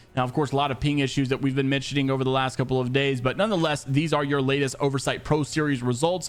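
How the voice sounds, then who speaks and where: Over music in the background, a man with a fairly high voice speaks at a very fast pace, keeping his loudness very even and leaving hardly any pauses. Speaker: esports news youtuber. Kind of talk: casual news commentary. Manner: animated.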